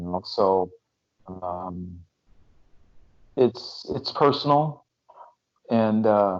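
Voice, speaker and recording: This man has an American accent and a fairly low pitch, talking at a very slow pace with ordinary pitch variation and long, frequent pauses. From USA. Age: 60s. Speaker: former champion wrestler. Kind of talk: interview. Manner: halting.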